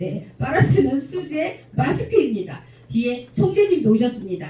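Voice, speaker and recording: A woman's very slow delivery with very wide pitch swings, amid audible room echo. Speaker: lecturer at club officers' training. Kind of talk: lecture Q&A with audience.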